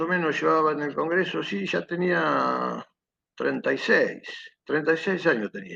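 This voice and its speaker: A man at a very slow pace. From Argentina, Buenos Aires province. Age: 60s. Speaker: war veteran. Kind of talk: testimony. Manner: hesitant, digressive with many fillers.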